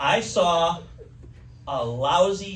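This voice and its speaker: A man's high voice with an American accent and very wide pitch swings, amid noticeable background noise and audible room echo. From Wisconsin. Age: 60s. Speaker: comedian. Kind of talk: stand-up.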